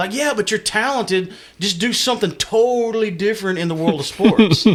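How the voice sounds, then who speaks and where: A man with a high pitch, talking at a fairly quick pace over noticeable background noise. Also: ordinary pitch variation. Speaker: podcast host. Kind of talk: casual chat. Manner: slurred.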